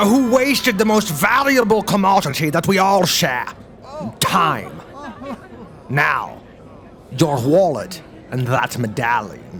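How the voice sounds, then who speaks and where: A man's put-on character voice, high for a man, with very wide pitch swings, a fairly slow pace, long, frequent pauses and clear background noise. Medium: audio drama. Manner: pompous, ornate vocabulary.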